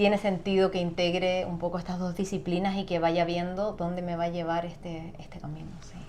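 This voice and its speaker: A woman talks at a fairly quick pace. Her fairly low voice carries a monotone, flat intonation. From Chile. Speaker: singer and sound therapist. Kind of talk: interview.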